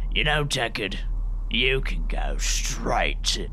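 A man growls in a put-on character voice at a very slow pace. Clear background noise can be heard. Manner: sarcastic, snarling.

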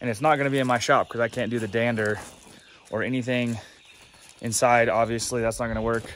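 Light background noise sits under a man speaking at a fairly quick pace. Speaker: homesteader vlogger. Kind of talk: casual vlog chat. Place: open country. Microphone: phone near.

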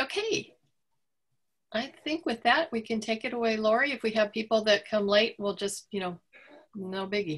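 Somewhat breathy speech at a moderate pace, with long, frequent pauses and ordinary pitch variation. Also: woman, fairly high pitch for a woman. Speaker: librarian and event host. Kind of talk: book club discussion. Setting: video call. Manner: casual, filler-heavy.

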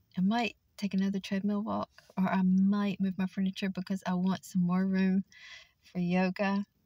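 Somewhat breathy, a woman speaks in a monotone, flat intonation, with a dry sound that has no echo. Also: quiet background. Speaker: vlogger. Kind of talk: casual vlog chat. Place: car. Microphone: phone near.

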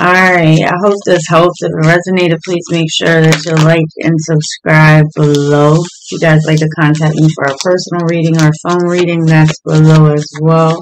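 A man talks at a moderate pace with a flat, monotone delivery and hardly any pauses. There is light background noise. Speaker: tarot reader. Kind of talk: tarot reading commentary. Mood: calm, friendly.

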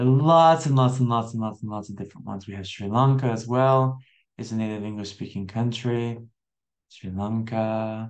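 A man at a moderate pace with big swings in loudness, against a quiet background. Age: 20s. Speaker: English teacher; online English teacher. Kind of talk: online language lesson. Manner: animated. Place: home room. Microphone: webcam.

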